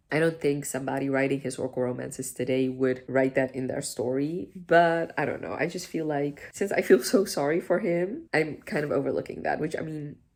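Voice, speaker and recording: A woman's very deep, low voice in a non-native accent, fairly quick, with hardly any pauses. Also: ordinary pitch variation. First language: not English. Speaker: book vlogger. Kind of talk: reading vlog review. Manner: casual, conversational.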